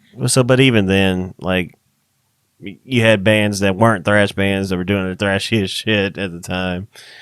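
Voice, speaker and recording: On a very clean recording with a silent background, a man with a fairly low pitch speaks at a moderate pace with fairly even intonation and big swings in loudness. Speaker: podcast co-host, metal musician. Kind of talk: casual chat.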